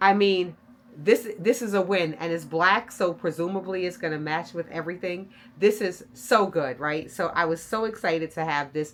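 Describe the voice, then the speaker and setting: There is noticeable background noise as a woman speaks in an animated tone at a fairly low pitch, with ordinary pitch variation and a moderate pace. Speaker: style and luxury vlogger. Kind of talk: product review vlog. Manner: loud.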